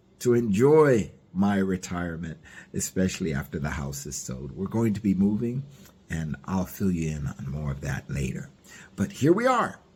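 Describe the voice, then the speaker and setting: Talking at a fairly slow pace, a man lets his pitch swing very widely. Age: 60s. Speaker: diet vlogger. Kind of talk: casual vlog monologue. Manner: hesitant, with many fillers.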